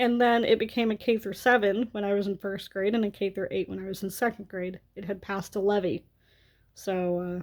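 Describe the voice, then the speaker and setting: Using a plain, everyday voice with an American accent, a woman talks at a moderate pace with ordinary pitch variation on a very clean recording with a silent background. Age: 30s. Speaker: vlogger. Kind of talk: storytime rant.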